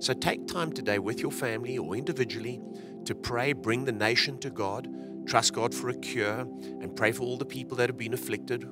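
Clear music plays in the background as a man speaks at a moderate pace, the sound dry with no echo. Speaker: church pastor. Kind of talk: service welcome address. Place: hall. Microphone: handheld.

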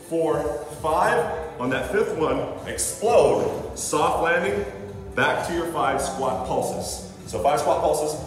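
There is audible room echo and light background noise. A man speaks at a very slow pace. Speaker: fitness trainer. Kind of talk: tutorial. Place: gym. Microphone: camera far.

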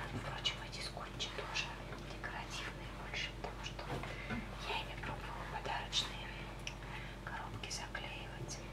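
A soft-spoken whisper moves at a moderate pace, broken by long, frequent pauses. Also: woman. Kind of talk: casual crafting vlog chat. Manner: soft ASMR whisper.

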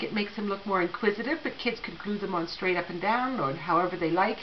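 A woman's fairly quick speech over light background noise. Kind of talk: tutorial. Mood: warm, friendly. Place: hall. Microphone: phone near.

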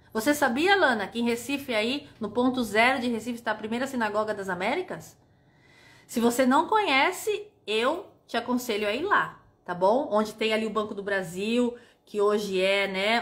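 At a moderate pace, the speaker delivers an animated tone with lively intonation. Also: woman. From Brazil, São Paulo city. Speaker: tour guide. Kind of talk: casual livestream chat. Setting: livestream. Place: home room. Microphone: phone near.

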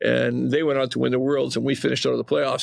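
Over noticeable background noise, a man with a Western Canadian accent talks at a very fast pace. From Western Canada (Calgary, Alberta). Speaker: retired champion curler. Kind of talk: casual interview.

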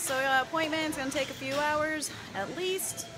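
Clear music sits in the background while a woman speaks. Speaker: fitness vlogger. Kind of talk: casual vlog chat. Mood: upbeat, excited. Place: gym. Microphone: phone near.

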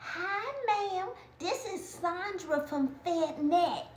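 In a squeaky, put-on character voice with lively intonation, the speaker goes at a very slow pace, with audible echo and light background noise. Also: woman, extremely high pitch for a woman. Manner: disguised put-on voice. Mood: mischievous, exaggerated grinning.

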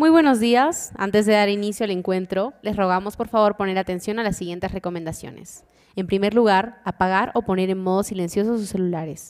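A woman talks at a fairly quick pace with hardly any pauses and ordinary pitch variation against a quiet background. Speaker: event host. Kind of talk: formal announcement. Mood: formal, calm. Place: hall. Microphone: podium.

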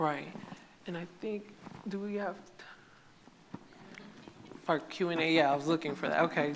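A woman's low-pitched voice with vocal fry, ordinary pitch variation and a fairly slow pace.

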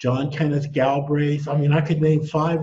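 At a moderate pace, a man speaks in a somewhat breathy voice over light background noise. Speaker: economics professor guest. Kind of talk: interview answer. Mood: reflective, somewhat indignant. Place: home room. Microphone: headset.

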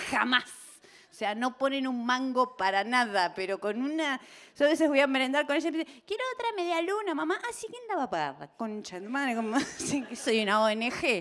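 Her voice is high-pitched for a woman and moves through very wide pitch swings. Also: moderate pace. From Argentina, Buenos Aires. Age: 40s. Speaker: comedian. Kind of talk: stand-up. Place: stage. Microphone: handheld.

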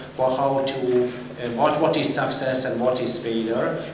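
There is audible room echo and light background noise as a man talks at a moderate pace. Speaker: speaker. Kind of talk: conference panel talk. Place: hall. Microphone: podium.

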